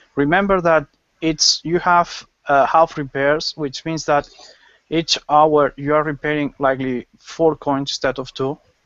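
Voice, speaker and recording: A man's fairly high voice with a strong Spanish accent, fairly slow and flat in a monotone. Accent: Spanish accent, strong at times. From Spain. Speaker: gaming panelist. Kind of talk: casual panel chat. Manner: halting.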